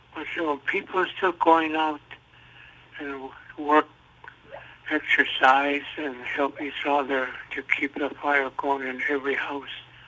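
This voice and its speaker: A man speaks at a fairly slow pace with long, frequent pauses. His intonation is monotone and flat against noticeable background noise. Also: fairly high pitch for a man. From Interior Alaska, Arctic Village. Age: 80s+. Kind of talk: holiday message. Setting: phone call. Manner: halting.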